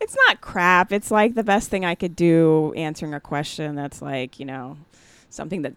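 In a General American accent, a woman speaks at a moderate pace with ordinary pitch variation, the sound dry and close with no echo. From Jamaica born, raised Maryland near Washington DC. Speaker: comedian and actor. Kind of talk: casual interview chat.

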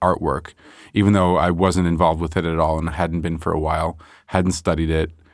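A man with a Montreal accent talks at a fairly quick pace. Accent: Montreal anglophone Canadian. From Montreal, Canada (NDG). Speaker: painter. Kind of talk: casual interview conversation. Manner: halting, many false starts.

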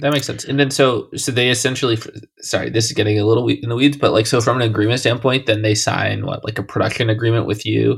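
Speaking at a very fast pace with hardly any pauses, a man of medium pitch delivers flat, monotone speech with vocal fry. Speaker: podcast host. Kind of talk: interview.

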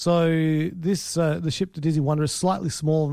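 A man's fairly high-pitched voice with a dark, mellow tone at a moderate pace, in a very clean recording with a silent background. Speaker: film podcast host. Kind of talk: casual chat.

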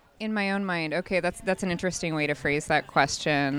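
A woman with a normal speaking voice, fairly low pitch and ordinary pitch variation, at a fairly quick pace in a very clean recording with a silent background. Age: 30s. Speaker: hiker. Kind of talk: casual interview. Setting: outdoors at a hiking festival.

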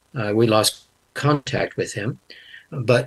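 A man with a medium pitch talks in a somewhat breathy voice. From Canada. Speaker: linguist and Bible translator. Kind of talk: interview.

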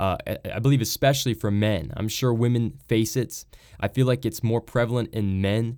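The recording is very clean, with a silent background. A man of medium pitch talks at a moderate pace with ordinary pitch variation. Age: 20s. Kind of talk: devotional talk.

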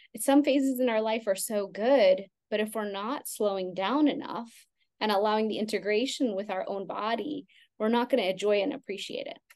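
A woman with an American accent and an unremarkable speaking voice, fairly high-pitched, at a moderate pace with ordinary pitch variation. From Texas, Houston. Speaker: Ayurvedic practitioner. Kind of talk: interview.

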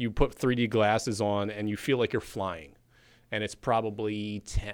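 A man with an unremarkable speaking voice talks at a moderate pace with fairly low pitch and fairly even intonation, on a very clean recording with a silent background. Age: 40s. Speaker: newspaper sports editor. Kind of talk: casual chat.

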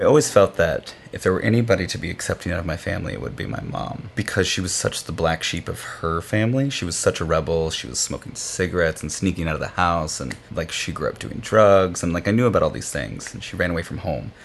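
A man with an American accent talks at a very fast pace in a very deep, low pitch, his intonation lively, with noticeable background noise. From Kansas. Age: 30s. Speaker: interviewee. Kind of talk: personal testimony.

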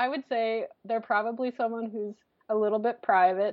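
An unremarkable speaking voice, this woman's is fairly high in pitch, with fairly even intonation and a fairly quick pace. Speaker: artist and painting professor. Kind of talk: interview.

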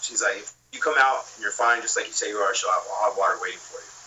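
Fairly quick and with an American accent, a man talks over noticeable background noise. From California, Long Beach. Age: 20s. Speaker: filmmaker and podcaster. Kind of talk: casual storytelling chat.

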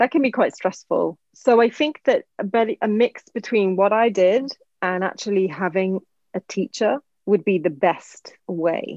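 In a dry, close recording with no echo, a woman with a London accent speaks at a medium pitch, fairly slowly, with lively intonation. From England. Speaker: actress and podcast host. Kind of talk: interview conversation.

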